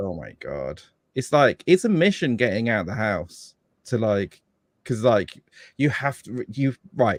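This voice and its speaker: A man's medium-pitched voice with vocal fry, fairly slow with long, frequent pauses, very wide pitch swings and big swings in loudness, in a dry, close sound with no echo. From England, Devon. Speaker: podcast guest, father. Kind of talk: casual chat.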